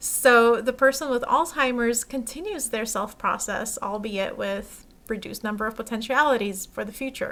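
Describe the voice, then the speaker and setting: In a plain, everyday voice with an American accent, the speaker goes at a moderate pace with hardly any pauses. Pitch varies in an ordinary way while loudness swings widely. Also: woman, fairly high pitch for a woman. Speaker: philosopher presenting a conference paper. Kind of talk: academic paper presentation. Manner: formal.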